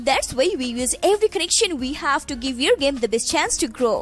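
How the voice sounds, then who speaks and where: With music in the background, a woman in an American accent speaks with very wide pitch swings. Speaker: voice over artist. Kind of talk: promotional commercial read.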